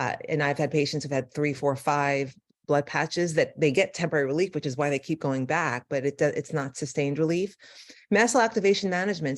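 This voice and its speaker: A woman talks at a very fast pace with ordinary pitch variation. The recording is very clean with a silent background. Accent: New York. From New York. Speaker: neurologist. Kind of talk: lecture.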